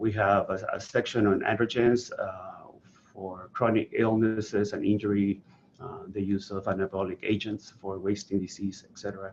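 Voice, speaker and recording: With a Venezuelan accent, a man speaks at a moderate pace in a monotone, flat delivery. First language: Spanish. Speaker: health author and website founder. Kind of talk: presentation. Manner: hesitant, many fillers.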